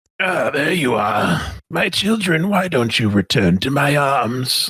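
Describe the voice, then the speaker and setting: Putting on a character voice, a man speaks raspy and strained at a fairly high pitch, with very wide pitch swings. His pace is fairly slow and his loudness very even. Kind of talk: grandiose, paternal. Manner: strained, seductively menacing.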